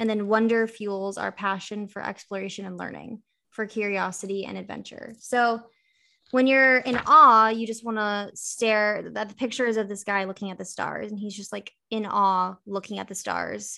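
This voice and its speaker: A woman speaks at a moderate pace and medium pitch, in a bright, sharp tone with fairly even intonation. Her loudness swings widely on a very clean recording with a silent background. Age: 20s. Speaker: podcast co-host. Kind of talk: casual chat.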